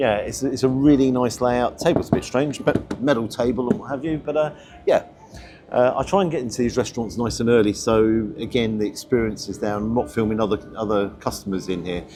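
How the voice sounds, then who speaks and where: With music in the background, a man with an English accent speaks at a fairly quick pace. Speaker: food reviewer. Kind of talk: casual vlog review. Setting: restaurant. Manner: hesitant; loud.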